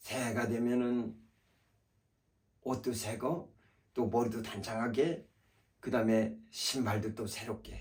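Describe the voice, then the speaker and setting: A man with vocal fry speaks at a very slow pace, leaving long, frequent pauses. His pitch is medium and his intonation fairly even. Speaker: pastor. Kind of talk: sermon. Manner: halting, many fillers.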